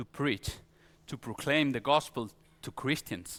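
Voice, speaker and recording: A man with a Spanish accent and a bright, sharp tone, in a very clean recording with a silent background. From Spain. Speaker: pastor. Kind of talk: sermon. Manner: halting.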